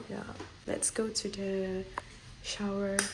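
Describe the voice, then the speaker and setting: Over noticeable background noise, a woman talks at a medium pitch. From Malaysia. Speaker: exchange student. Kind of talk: casual room tour vlog.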